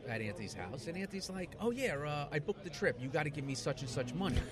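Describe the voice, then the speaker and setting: Amid noticeable background noise, a man talks very fast with lively intonation at a fairly high pitch. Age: 30s. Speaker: guest, friend of hosts. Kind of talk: casual chat. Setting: bar, recorded on location.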